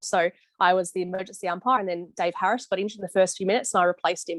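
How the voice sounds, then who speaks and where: Talking at a very fast pace, a woman with an Australian accent keeps her intonation fairly even, and the sound is dry and close with no echo. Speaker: football umpire. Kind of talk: interview on video call. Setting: video call.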